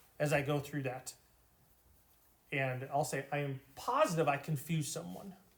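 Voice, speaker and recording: Somewhat breathy and fairly high, a man's voice moves at a moderate pace with fairly even intonation. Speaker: math teacher. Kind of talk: lecture. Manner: slurred at times.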